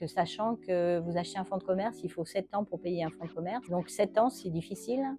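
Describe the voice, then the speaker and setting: Over music in the background, a woman with a fairly low pitch speaks at a fairly quick pace, with ordinary pitch variation and hardly any pauses. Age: 60s. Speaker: bakery manager. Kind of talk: interview testimony. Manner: hesitant, many filler sounds.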